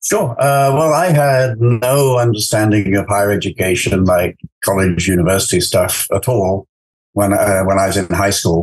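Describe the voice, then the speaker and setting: In an English accent, a man speaks at a moderate pace with a fairly low pitch, ordinary pitch variation, a somewhat breathy quality and very even loudness. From England. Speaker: astrophysicist. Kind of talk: interview. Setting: podcast. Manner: halting, many fillers.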